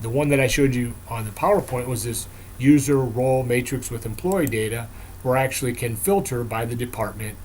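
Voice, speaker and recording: Audible room echo surrounds a man with medium pitch. He talks at a fairly quick pace with ordinary pitch variation. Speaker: software vendor presenter. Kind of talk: product demo presentation. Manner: fast.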